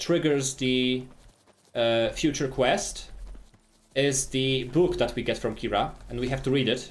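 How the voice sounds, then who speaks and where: With audible room echo around him, a man speaks at a moderate pace in a fairly high pitch with ordinary variation. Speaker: video game speedrunner and streamer. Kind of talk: live gameplay commentary. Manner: animated.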